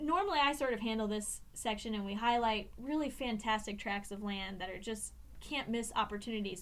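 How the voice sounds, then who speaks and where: A woman's fairly high voice with an American accent, ordinary pitch variation and a moderate pace, in a room with audible echo. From Indiana. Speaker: podcast co-host, regional ecologist. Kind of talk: casual chat. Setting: recording studio. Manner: animated.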